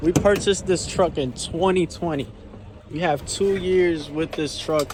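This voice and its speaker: There is noticeable background noise as a man speaks at a high pitch. His intonation is fairly even and his pace fairly slow. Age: 20s. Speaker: trucking owner-operator and vlogger. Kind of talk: casual vlog talk.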